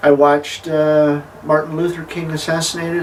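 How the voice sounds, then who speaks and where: Over noticeable background noise, a man with an American accent talks. His pitch is fairly high and his intonation monotone and flat. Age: 50s. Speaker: transgender vlogger, former truck driver. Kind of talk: personal monologue, self-interview. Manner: halting, many fillers.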